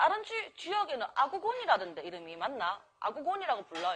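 A woman speaks in a Busan accent. Her tone is animated, with very wide pitch swings. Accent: Gyeongsang (Busan) dialect. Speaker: mukbang streamer. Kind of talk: casual live-stream chat while eating. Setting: restaurant.

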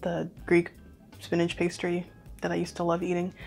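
Faint music plays behind a woman speaking at a fairly quick pace. Her pitch is fairly low. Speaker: home cook reviewer. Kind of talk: casual vlog chat. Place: home room. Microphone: lapel.

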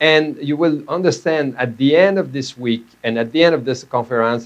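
In a Quebec French accent, a man speaks over a quiet background. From Quebec, Canada. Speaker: medical doctor and professor; presenter. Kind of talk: lecture. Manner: halting. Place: studio.

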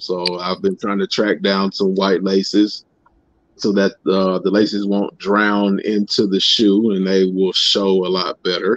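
A man with an ordinary speaking voice talks at a fairly low pitch and a fairly slow pace. The sound is dry with no echo. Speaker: guest sneaker youtuber. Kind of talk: casual chat. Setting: video call. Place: home room. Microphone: video call.

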